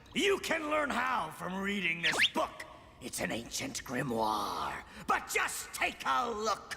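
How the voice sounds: Using a cartoonish character voice, a man speaks at a fairly slow pace with clear background noise behind him.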